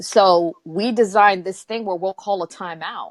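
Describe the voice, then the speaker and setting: Recorded very cleanly against a silent background, a woman speaks at a moderate pace and medium pitch with ordinary pitch variation, the sound dry and close with no echo. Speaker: live stream host. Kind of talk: casual discussion. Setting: live stream. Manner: soft-spoken.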